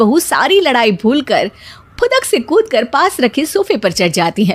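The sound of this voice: A woman speaks at a moderate pace. Her high voice moves in big pitch swings.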